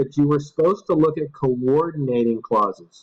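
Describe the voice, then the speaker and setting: With lively intonation, a man speaks in a fairly high pitch. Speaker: professor. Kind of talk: lecture. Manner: slow.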